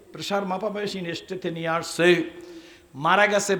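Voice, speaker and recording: Amid noticeable background noise and audible room echo, a man speaks in a high pitch with an animated tone. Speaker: Islamic preacher. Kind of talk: sermon.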